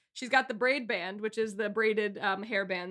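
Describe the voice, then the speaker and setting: A woman in a normal speaking voice, medium in pitch, with fairly even intonation at a moderate pace. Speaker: podcast guest, host's girlfriend. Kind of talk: casual chat. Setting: video call.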